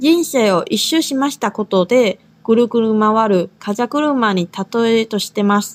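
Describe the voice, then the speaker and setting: Delivered in a plain, everyday voice, the speech has lively intonation and a fairly slow pace. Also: woman. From Taiwan. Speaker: language teacher, podcast co-host. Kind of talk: language lesson.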